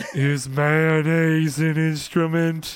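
In a put-on character voice, a man speaks at a fairly high pitch with monotone, flat intonation. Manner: dim, naive.

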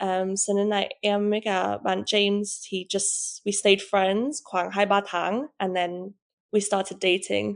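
A woman with an English accent at a medium pitch, very slow in pace with hardly any pauses, in a monotone, flat intonation against a quiet background. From England. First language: English (speaking Vietnamese). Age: 20s. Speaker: business owner. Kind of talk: casual interview. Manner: halting, code-switching Vietnamese and English.

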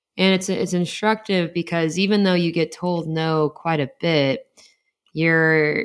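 Her voice is a plain, everyday voice, fairly low in pitch with ordinary variation, and she speaks at a moderate pace. This woman is recorded very cleanly against a silent background. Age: 30s. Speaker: periodontist, podcast co-host. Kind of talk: casual chat.

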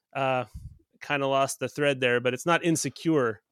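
A man with an American accent has an unremarkable speaking voice and ordinary pitch variation. He talks at a moderate pace, and the sound is dry and close with no echo. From US South (Texas, Tennessee, Arkansas), then Canada from grade six. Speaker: podcast host. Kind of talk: casual interview chat.

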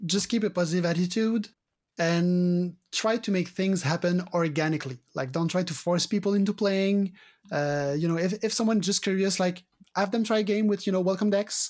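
A man with a French Canadian accent speaks at a moderate pace in a high pitch, with very even loudness and fairly even intonation, on a very clean recording with a silent background. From Quebec. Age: 40s. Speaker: card game judge. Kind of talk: interview. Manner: hesitant, many fillers.

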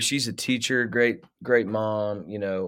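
A man with a US Midwestern accent speaks at a very slow pace in a bright, sharp, medium-pitched voice with fairly even intonation, recorded very cleanly against a silent background. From Ohio, US Midwest (Middletown). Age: 30s. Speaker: musician. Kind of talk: casual chat.

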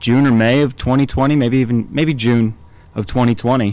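With a plain, everyday voice, a man speaks at a medium pitch and moderate pace, his intonation fairly even. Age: 30s. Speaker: fitness podcaster, former college baseball player. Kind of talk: casual chat. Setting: gym warehouse with background noise.

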